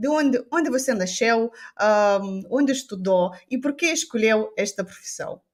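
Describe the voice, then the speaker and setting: A woman speaks at a fairly slow pace in a high voice with lively intonation. The recording is very clean, with a silent background. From Moldova. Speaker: podcast host. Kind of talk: interview. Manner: halting.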